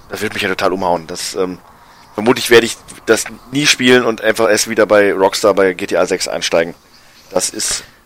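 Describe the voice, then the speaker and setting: Noticeable background noise surrounds a man who speaks with fairly even intonation. He leaves long, frequent pauses. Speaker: video game podcast co-host. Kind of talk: casual chat. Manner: hesitant, many filler sounds.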